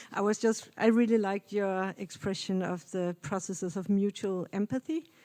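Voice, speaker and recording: The voice has a Danish accent and a dark, mellow tone, with ordinary pitch variation at a moderate pace. The sound is dry and close, with no echo. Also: woman, medium pitch for a woman. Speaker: audience member. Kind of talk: Q&A question. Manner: hesitant.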